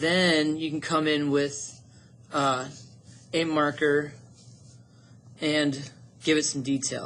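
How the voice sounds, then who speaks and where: This man's voice sits fairly high and has a bright, sharp tone, moving at a very slow pace. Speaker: art teacher. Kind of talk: tutorial.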